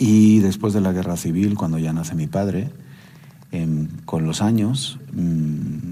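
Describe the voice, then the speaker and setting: Very slow male voice with a dark, mellow tone and audible room echo. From Spain, Barcelona (Catalonia). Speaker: lecturer. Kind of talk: lecture. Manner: halting, many fillers.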